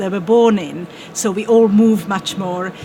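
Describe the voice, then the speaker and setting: Someone with a Czech accent speaks at a fairly slow pace over noticeable background noise. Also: woman. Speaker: translation panelist. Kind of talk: panel discussion.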